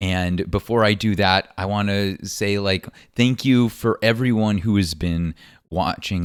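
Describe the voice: The tone is clear and smooth, delivered at a fairly slow pace. The recording is very clean, with a silent background. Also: man.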